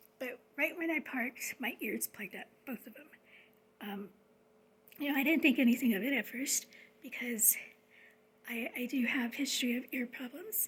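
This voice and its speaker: Soft-spoken, the speaker keeps a moderate pace but leaves long, frequent pauses. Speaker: spiritual vlogger. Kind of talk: casual monologue. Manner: hesitant, many fillers.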